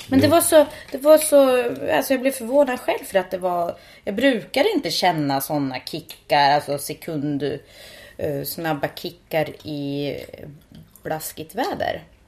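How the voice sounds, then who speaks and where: On a very clean recording with a silent background, a woman talks at a fairly slow pace and medium pitch, her voice making very wide pitch swings. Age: 30s. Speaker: podcast co-host. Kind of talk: casual chat.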